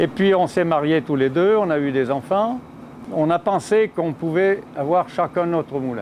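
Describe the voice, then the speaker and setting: Here a man speaks fairly slowly in a high pitch. His intonation is lively. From central France, Auvergne / Bourbonnais. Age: 80s+. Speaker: miller. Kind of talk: interview testimony. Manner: hesitant at times.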